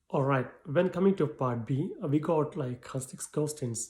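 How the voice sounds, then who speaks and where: Somewhat breathy and dark, mellow in tone, a man with a non-native accent speaks at a moderate pace and a fairly high pitch with ordinary pitch variation. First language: not English. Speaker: English exam tutor. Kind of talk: tutorial. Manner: halting.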